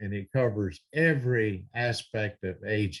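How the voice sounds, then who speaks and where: Against a quiet background, a man talks in a somewhat breathy, fairly low voice with ordinary pitch variation. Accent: American. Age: 70s. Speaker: preacher. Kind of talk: sermon. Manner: hesitant with many fillers.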